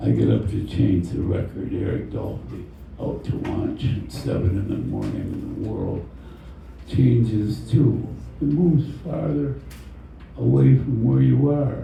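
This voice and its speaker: Over noticeable background noise and audible room echo, a man talks at a fairly slow pace with very wide pitch swings. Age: 80s+. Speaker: poet. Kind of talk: poetry reading.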